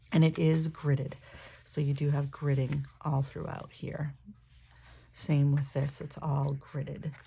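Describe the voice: A woman speaks at a slow pace, her pitch low with little movement. Her dark, mellow tone carries vocal fry, a croaky quality and a slightly husky edge.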